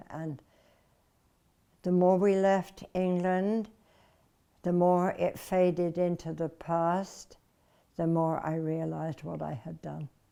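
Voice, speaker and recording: Very slowly and with long, frequent pauses, a woman speaks in a dark, mellow tone, her fairly low pitch flat and monotone. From London, England. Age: 80s+. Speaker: war bride, former dancer and entertainer. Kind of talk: interview answer.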